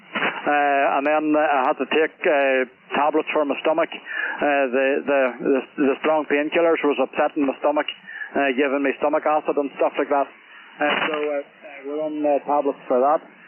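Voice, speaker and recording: A man's fairly high voice at a moderate pace, flat and monotone, with very even loudness and noticeable background noise. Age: 60s. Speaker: amateur radio operator. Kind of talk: casual chat. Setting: radio contact. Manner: halting, many fillers.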